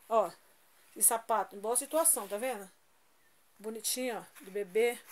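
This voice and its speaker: Speaking at a fairly slow pace, a woman uses a fairly high voice with ordinary pitch variation. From Brazil. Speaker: YouTuber; vlogger donating clothes. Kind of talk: casual vlog showing items. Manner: informal, chatty. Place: home room. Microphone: phone near.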